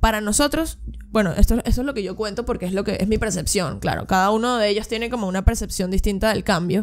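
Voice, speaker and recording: Talking very fast, a woman uses a fairly high pitch. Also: ordinary pitch variation. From Venezuela. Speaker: percussionist and radio presenter; radio presenter. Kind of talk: casual interview chat. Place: studio. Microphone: studio mic.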